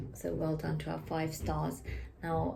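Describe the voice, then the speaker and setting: A woman talks at a moderate pace over noticeable background noise, with audible room echo around her voice. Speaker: school teacher giving weekly update. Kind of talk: weekly school announcements to camera.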